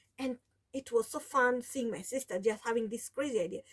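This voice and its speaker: High-pitched woman's voice in a Kenyan accent. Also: dry, close sound with no echo. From Kenya, coast (Mombasa, Taita). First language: Taita (mother tongue), also Swahili. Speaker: sewing vlogger. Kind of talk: casual vlog talk. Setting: home sewing room. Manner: halting, many restarts.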